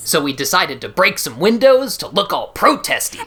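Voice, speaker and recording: Using a put-on character voice, a man speaks high and fairly quickly over light background noise. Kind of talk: comic overacting. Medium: audio drama. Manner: gee-whiz, wholesome, dim.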